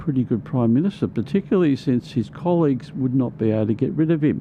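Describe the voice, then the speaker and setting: Lively intonation marks a man speaking with an Australian accent. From Queensland, Australia. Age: 70s. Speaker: union organiser. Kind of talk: interview conversation. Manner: halting.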